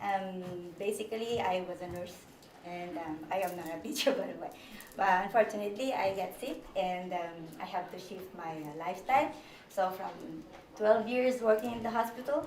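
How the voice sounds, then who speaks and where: A woman speaks at a moderate pace with lively intonation, medium pitch and big swings in loudness, leaving long, frequent pauses. There is audible room echo and noticeable background noise. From Philippines. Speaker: childcare teacher, former nurse. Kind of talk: conference presentation. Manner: halting.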